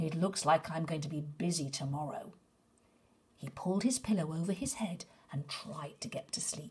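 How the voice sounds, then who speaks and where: A soft-spoken, somewhat breathy voice with lively intonation and a soothing tone, talking at a moderate pace. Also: woman, fairly low pitch for a woman. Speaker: storyteller. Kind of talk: bedtime story reading aloud. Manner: soft, soothing, gently paced storyteller; expressive, with character voices for dialogue. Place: home room. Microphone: phone near.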